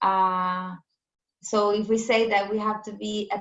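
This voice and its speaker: The woman's intonation is fairly even. Her pitch sits in the medium range. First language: not English. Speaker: farmer. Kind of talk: panel discussion. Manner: halting.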